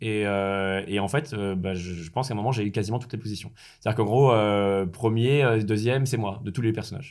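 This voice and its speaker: Here a man speaks at a very fast pace and a medium pitch. His pitch variation is ordinary. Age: 30s. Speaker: former pro gamer and entrepreneur. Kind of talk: interview.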